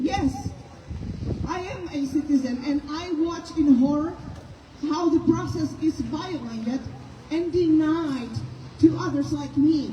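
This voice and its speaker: With a Czech accent, a woman speaks at a fairly slow pace with long, frequent pauses over noticeable background noise. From Czechoslovakia (Czech Republic). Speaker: activist speaker at a protest rally. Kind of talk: rally speech.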